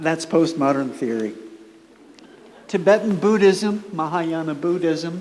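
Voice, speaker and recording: A woman with an American accent speaks very slowly in a fairly low voice, her pitch varying in an ordinary way. The room echoes audibly, and background noise is noticeable. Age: 70s. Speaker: author and performance artist giving a keynote. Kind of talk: conference keynote speech. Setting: conference room with audience. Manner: conversational and playful.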